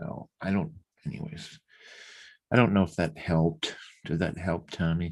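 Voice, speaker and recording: Long, frequent pauses break up a man's very deep, low voice, which has ordinary pitch variation. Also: moderate pace. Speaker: podcast co-host. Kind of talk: casual chat. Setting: live stream. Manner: loud.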